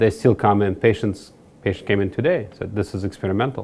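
Here a man with a fairly low pitch talks at a fairly quick pace. His intonation stays fairly even. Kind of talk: interview answer. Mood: calm, explanatory. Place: office.

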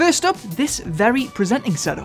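Faint music plays in the background as a man talks at a fairly quick pace with an extremely high pitch. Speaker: gear review host. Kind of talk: tutorial. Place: studio. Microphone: studio mic.

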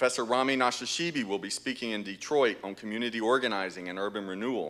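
The man's tone is bright and sharp. He talks at a fairly quick pace. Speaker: speaker. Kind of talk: formal announcements. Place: church. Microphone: podium.

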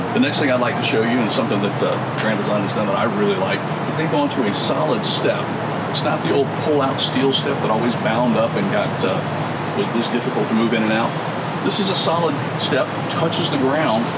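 Loud background noise runs through the clip. The speech moves at a fairly quick pace. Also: man, ordinary pitch variation. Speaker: RV salesman giving tour. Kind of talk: product walkthrough explanation. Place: street.

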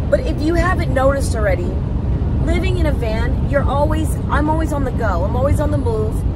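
A woman at a fairly quick pace, dry with no echo, over loud background noise. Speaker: van life vlogger. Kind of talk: casual vlog chat. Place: car. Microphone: phone near.

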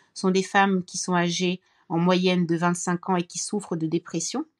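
This woman has a normal speaking voice, medium in pitch, moving at a moderate pace in a dry, close sound with no echo. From Cameroon. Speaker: mental health foundation founder and author. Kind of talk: interview.

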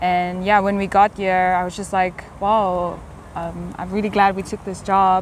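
In a South African accent, a woman speaks fairly slowly with monotone, flat intonation, in a dry sound with no echo and light background noise. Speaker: English teacher. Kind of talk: casual chat. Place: garden.

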